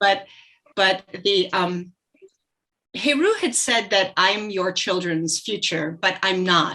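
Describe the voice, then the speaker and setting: A woman's medium-pitched voice has a bright, sharp tone and very even loudness. She speaks at a very slow pace with long, frequent pauses. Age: 60s. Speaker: heart defect survivor speaker. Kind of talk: presentation.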